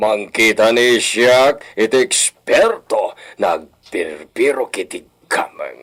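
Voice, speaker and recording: Using a put-on character voice, a man talks very slowly at a medium pitch. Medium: audio drama. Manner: commanding, scheming.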